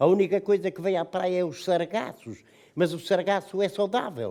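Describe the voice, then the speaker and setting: Speaking at a moderate pace, a man with a high pitch has a dark, mellow tone. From Portugal, Nazaré. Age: 80s+. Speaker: retired cod fisherman. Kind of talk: personal testimony to students.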